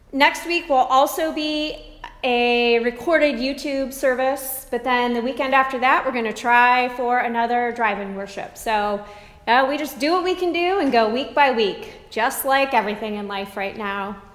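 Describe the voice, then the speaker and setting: A woman speaks at a moderate pace in a high pitch with ordinary pitch variation. Audible room echo surrounds her voice. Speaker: pastor. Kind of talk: announcements to congregation. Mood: warm, friendly. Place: church. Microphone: camera far.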